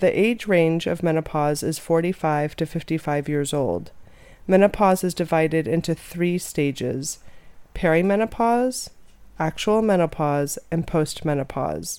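In a plain, everyday voice, a woman speaks at a fairly slow pace with a fairly low pitch and ordinary pitch variation. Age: 40s. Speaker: chiropractor and nutritionist. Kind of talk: scripted narration.

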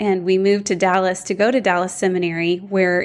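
A woman with an American accent speaks at a moderate pace in a medium-pitched voice with fairly even intonation, over a quiet background. It is an ordinary speaking voice. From Houston, Texas. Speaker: Bible teacher and author. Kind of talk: interview.

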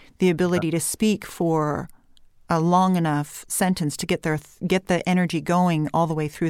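A woman with a California Valley accent talks at a moderate pace and a fairly low pitch, with fairly even intonation. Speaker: voice coach.

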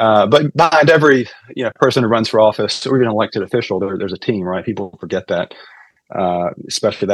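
A man speaks with an unremarkable speaking voice at a medium pitch. His intonation is lively. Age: 40s. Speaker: political consultant. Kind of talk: casual interview.

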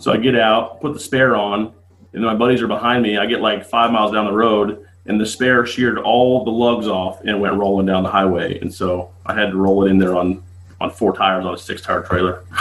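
A man with an ordinary speaking voice and an American accent talks at a fairly quick pace and fairly low pitch, his intonation fairly even. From Las Vegas, US West. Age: 30s. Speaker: drag racer. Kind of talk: casual chat.

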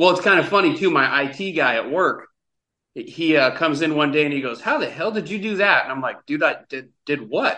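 The delivery comes at a fairly quick pace with a bright, sharp tone and ordinary pitch variation. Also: man, fairly high pitch for a man. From US Pacific Northwest. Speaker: travel influencer. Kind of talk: casual chat. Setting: video call.

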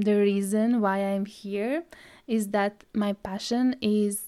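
In a Latvian accent, the voice has a dark, mellow tone and fairly even intonation, on a very clean recording with a silent background. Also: woman. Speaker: podcast host, brand stylist. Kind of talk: solo podcast trailer, scripted-style intro.

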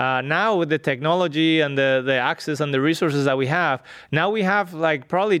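Against a quiet background, a man with a Spanish accent speaks at a moderate pace and fairly high pitch, with ordinary pitch variation. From northwestern Spain. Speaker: genetics researcher. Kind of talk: interview. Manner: halting, many fillers.

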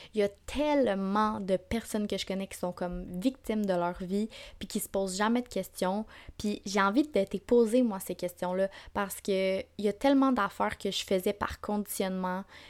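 In a Quebec accent, a woman speaks on a very clean recording with a silent background. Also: medium pitch for a woman, ordinary pitch variation, moderate pace. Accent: Québécois French. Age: 20s. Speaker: podcast host. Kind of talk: casual monologue. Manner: animated.

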